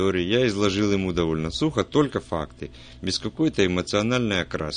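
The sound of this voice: Someone reads in an unforced voice.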